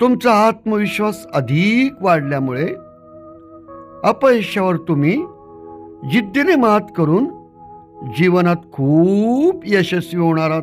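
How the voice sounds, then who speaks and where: Over music in the background, a man speaks with a high pitch and very wide pitch swings. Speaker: hypnotist, guided meditation guide. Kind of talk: guided meditation, self-suggestion instructions. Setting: old cassette recording, first published 1991.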